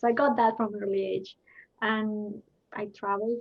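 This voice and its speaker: In a Spanish accent, a woman speaks at a moderate pace. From Colombia. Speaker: intercultural development consultant. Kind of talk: panel discussion. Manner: somewhat choppy English.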